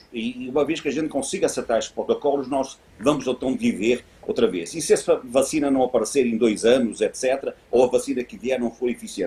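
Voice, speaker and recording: Over noticeable background noise, the speech races along at a very fast pace with ordinary pitch variation. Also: man. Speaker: business executive, event panelist. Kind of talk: panel discussion. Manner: hesitant, many fillers.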